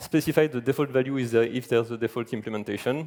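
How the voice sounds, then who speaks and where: In a strong French accent, a man talks at a fairly quick pace with fairly even intonation on a very clean recording with a silent background. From France. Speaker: software engineer, conference speaker. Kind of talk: conference talk. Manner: fast.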